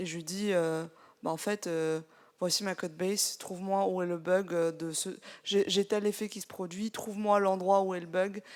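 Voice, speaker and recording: On a very clean recording with a silent background, a medium-pitched woman speaks at a moderate pace in monotone, flat intonation, with big swings in loudness. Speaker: software developer. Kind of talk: live audience discussion.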